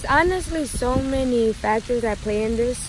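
At a moderate pace and with fairly even intonation, a woman talks in a dry recording with no echo but noticeable background noise. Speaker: vlogger giving advice. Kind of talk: casual vlog chat answering questions. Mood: relaxed, friendly, sometimes laughing. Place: garden. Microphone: phone near.

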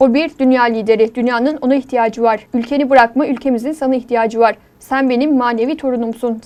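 With a high pitch and fairly even intonation, a woman talks at a fairly quick pace with hardly any pauses. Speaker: news reporter. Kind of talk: TV news narration.

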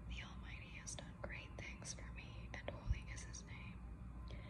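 Noticeable background noise surrounds a woman with a very deep, low pitch. She speaks slowly-ish, at a fairly slow pace, in a soothing tone. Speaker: counselor and coach, ASMR creator. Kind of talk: ASMR prayer reading. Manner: soothing, calming.

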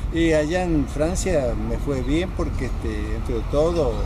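A man's voice over noticeable background noise. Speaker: masters athlete. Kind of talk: interview answer. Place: stadium.

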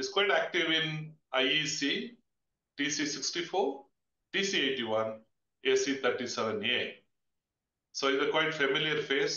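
Audible room echo surrounds this man's speech. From India. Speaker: webinar moderator, fire industry professional; webinar host, moderator. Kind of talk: webinar moderation. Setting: video call webinar. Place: office. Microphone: webcam.

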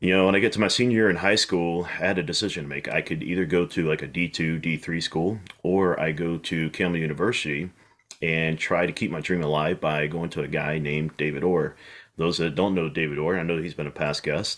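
Against a quiet background, a man with a very deep, low pitch talks at a fairly quick pace with fairly even intonation. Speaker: podcast guest, golf instructor. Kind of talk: interview answer. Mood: friendly, relaxed. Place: home room. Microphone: video call.

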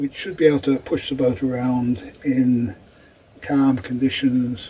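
Light background noise sits behind the voice. A man speaks at a very slow pace. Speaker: boat owner vlogger. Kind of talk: casual vlog chat. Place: boat. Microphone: camera far.

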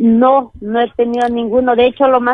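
Music can be heard in the background. Over it, a woman talks at a fairly quick pace. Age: 30s. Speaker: caller. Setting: phone call.

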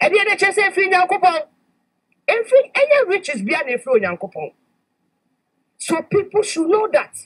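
Big pitch swings, a fairly bright tone, a moderate pace, and long, frequent pauses. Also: woman, extremely high pitch for a woman.

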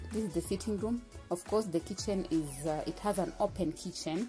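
Faint music plays in the background as a woman speaks at a moderate pace, fairly low in pitch with ordinary pitch variation. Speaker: vlogger giving apartment tour. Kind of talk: casual vlog chat. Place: empty room. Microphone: phone near.

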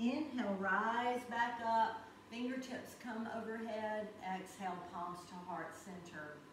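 A woman speaks very slowly at a fairly high pitch with ordinary pitch variation and hardly any pauses, with audible room echo and light background noise. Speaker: yoga instructor. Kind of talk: guided yoga class. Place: home room. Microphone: camera far.

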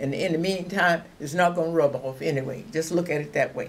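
Light background noise sits behind a woman speaking. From Louisiana, US South. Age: 80s+. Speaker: retired aircraft assembly worker, WWII. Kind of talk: oral history interview answer. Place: home room.

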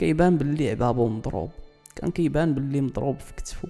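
A man's medium-pitched voice with lively intonation, music playing in the background. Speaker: storyteller. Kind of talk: true-crime / history storytelling.

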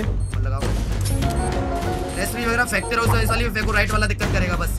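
A man talks at a moderate pace. Loud music plays in the background. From Nepal. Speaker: mobile game streamer. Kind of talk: live gameplay commentary with teammates.

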